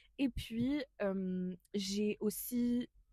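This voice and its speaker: A dry, close sound with no echo and a dark, mellow tone. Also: woman. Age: 20s. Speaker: podcast co-host, student volunteer. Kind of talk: casual podcast chat. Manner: hesitant, many fillers.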